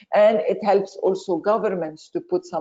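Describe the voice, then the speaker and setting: A woman speaks in a Lebanese accent. She keeps a moderate pace. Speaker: chemistry professor. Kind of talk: webinar lecture. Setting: online webinar.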